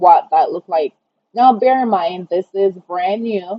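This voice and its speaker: A woman speaks in a Jamaican accent. Her pitch is medium, with ordinary pitch variation. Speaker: online design tutorial creator. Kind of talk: tutorial. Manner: casual, conversational.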